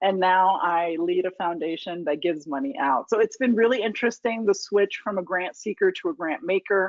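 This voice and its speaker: A woman with an American accent has an unremarkable speaking voice at medium pitch. Her intonation is lively and her pace fairly quick. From US, New York and military bases, high school in Indiana. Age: 40s. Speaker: foundation leader. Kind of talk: lecture Q&A talk. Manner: conversational with fillers.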